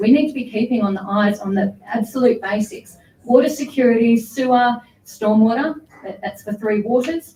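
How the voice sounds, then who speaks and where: The speaker has an Australian accent and a fairly even intonation. The pace is moderate. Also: woman. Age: 30s. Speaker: council candidate. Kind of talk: candidate forum speech.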